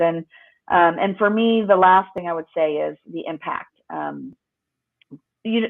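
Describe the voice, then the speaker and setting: A woman with a Spanish accent talks at a fairly slow pace. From US West Coast, Los Angeles. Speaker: lawyer and author. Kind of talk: interview. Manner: hesitant, many fillers.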